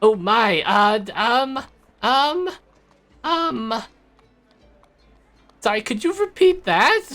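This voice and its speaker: In a put-on character voice of extremely high pitch, a man speaks at a very slow pace with long, frequent pauses while faint music plays in the background. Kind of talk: comic character voice. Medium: actual play. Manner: hesitant, stammering, fussy.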